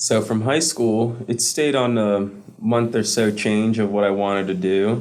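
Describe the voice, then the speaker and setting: With a Spanish accent, a man speaks fairly slowly at a fairly low pitch. His intonation is fairly even, his loudness very even, and the room echo is audible. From US, Caribbean immigrant family. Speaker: student veteran. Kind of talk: interview.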